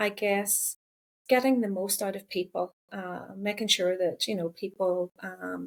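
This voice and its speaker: The speaker talks at a fairly slow pace with a Northern Irish accent. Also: woman. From Northern Ireland. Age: 50s. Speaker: counsellor and psychotherapist. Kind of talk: podcast interview.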